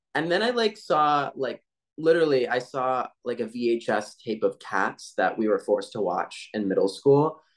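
At a moderate pace, a man speaks in a fairly high voice. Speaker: voice actor. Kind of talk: interview answer. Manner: casual, chatty. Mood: cheerful, animated. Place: home room. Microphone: video call.

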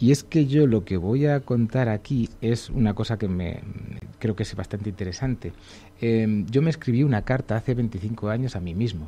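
A man with a dark, mellow, somewhat breathy tone speaks at a moderate pace with ordinary pitch variation. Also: medium pitch for a man. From Segovia, Spain; Spain. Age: 40s. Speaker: illustrator; radio guest. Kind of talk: radio interview. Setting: radio studio. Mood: humorous, self-deprecating. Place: studio. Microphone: studio mic.

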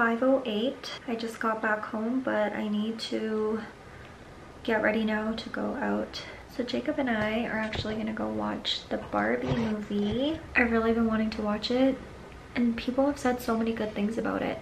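With light background noise, a woman speaks at a moderate pace in fairly even intonation. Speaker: vlogger. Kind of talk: casual vlog chat. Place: home room. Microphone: phone near.

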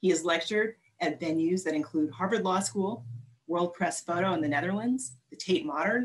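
A woman with an ordinary speaking voice talks at a moderate pace, her fairly low pitch carrying lively intonation. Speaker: arts organization board president. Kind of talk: formal introduction. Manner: warm, welcoming.

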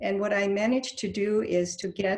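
The woman talks fairly slowly with a somewhat breathy quality. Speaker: meeting host presenting. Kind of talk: meeting presentation. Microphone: video call.

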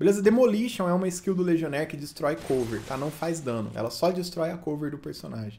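Fairly high-pitched and fairly quick, a man with a Brazilian accent talks with lively intonation and hardly any pauses. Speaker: gaming youtuber. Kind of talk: gameplay commentary. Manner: casual, chatty.

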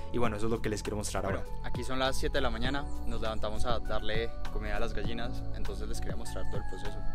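A man at a very fast pace with a Colombian accent, clear music in the background. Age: 20s. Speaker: university student; vlogger. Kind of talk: casual talk to camera. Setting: outdoors. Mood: warm, nostalgic, cheerful. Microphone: phone near.

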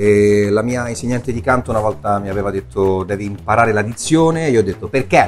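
A man at a fairly quick pace over faint music in the background. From Italy. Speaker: voice actor. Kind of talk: interview answer. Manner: casual, hesitant. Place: shop.

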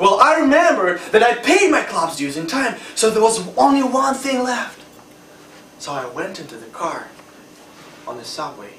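Over noticeable background noise, a man speaks at a high pitch and a moderate pace, with long, frequent pauses. His loudness swings a lot and his pitch swings very widely. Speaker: Toastmasters club member giving a speech. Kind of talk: humorous prepared speech. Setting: stage with audience.

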